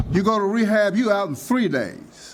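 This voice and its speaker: Noticeable background noise sits behind a man with a high pitch who talks at a fairly slow pace. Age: 70s. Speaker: pastor and public commenter. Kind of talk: public comment at city meeting. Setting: city commission meeting.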